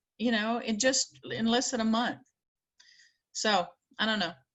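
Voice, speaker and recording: A woman at a moderate pace, with a slight Southern US accent. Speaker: librarian. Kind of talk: video call group discussion. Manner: halting.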